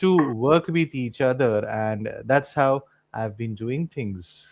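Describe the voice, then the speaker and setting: A man with a Marathi accent, medium pitch and very slow pace. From Mumbai, India. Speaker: English tutor. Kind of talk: casual chat.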